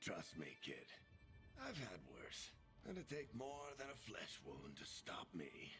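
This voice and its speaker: Over clear music in the background, a man uses a put-on character voice at a fairly slow pace. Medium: video game. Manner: wry, casual, reassuring.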